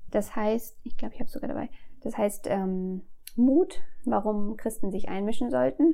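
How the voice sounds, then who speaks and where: Lively intonation shapes a dark, mellow tone. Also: woman, fairly high pitch for a woman, moderate pace. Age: 40s. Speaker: fair fashion employee. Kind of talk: interview.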